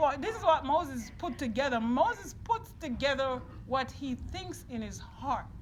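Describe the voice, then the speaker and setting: The speaker, with a Jamaican accent, talks at a fairly slow pace. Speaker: preacher. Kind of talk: sermon. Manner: call-and-response with congregation.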